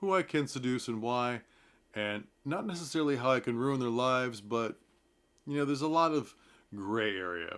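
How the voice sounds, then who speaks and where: A man with an American accent, medium pitch and lively intonation. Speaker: theatre commentator vlogger. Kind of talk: casual talk to camera about a play. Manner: conversational with fillers.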